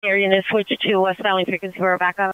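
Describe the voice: Clear, smooth tone at a fairly quick pace, with little pitch movement and a dry, close sound with no echo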